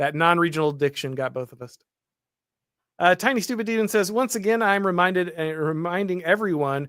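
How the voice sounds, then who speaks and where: A man with an American accent, high in pitch, with ordinary pitch variation, on a very clean recording with a silent background. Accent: slight Southern drawl on certain phrases. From US South. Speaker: political commentator, show host. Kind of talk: livestream talk show, reading super chats. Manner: halting, many fillers and restarts.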